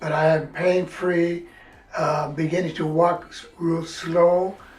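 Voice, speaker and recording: Amid noticeable background noise and audible room echo, a man speaks at a high pitch with monotone, flat intonation. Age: 80s+. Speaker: patient, military veteran. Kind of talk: testimony. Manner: halting.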